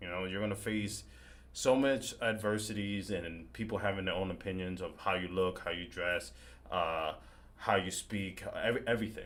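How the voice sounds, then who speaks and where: A man at a moderate pace, with ordinary pitch variation and audible room echo. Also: fairly low pitch for a man. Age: 30s. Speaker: horror content creator and podcast host. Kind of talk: casual interview chat. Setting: live stream video call. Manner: stutters.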